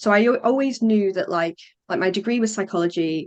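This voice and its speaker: In a quiet background, a woman speaks with ordinary pitch variation. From northern England, Morecambe, Lancashire. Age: 30s. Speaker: play consultant, former teacher. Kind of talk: podcast interview. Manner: chatty, hesitant fillers.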